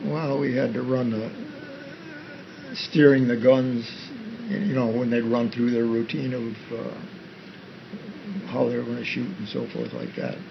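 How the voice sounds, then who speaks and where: A man talks at a fairly slow pace with long, frequent pauses. He has a Western New York accent, and there is noticeable background noise. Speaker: army veteran and farmer. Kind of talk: interview answer.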